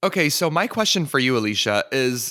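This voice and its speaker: A man talks loudly with a bright, sharp tone. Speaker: podcast co-host. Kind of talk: casual chat.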